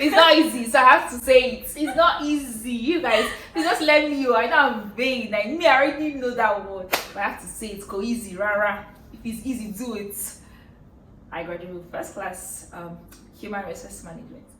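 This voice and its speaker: Amid audible room echo and noticeable background noise, a woman with a Nigerian accent and a high pitch speaks at a fairly quick pace with lively intonation and big swings in loudness. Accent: Nigerian English (Igbo). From Nigeria, Anambra State (Igbo). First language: Igbo. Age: 20s. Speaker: Nollywood actress. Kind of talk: casual Q&A chat. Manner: animated.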